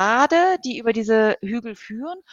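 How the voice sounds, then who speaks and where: The speaker is a woman with a fairly high pitch. She keeps to a moderate pace. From Hamburg, northern Germany. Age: 40s. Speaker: ultrarunner. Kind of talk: interview. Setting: video call.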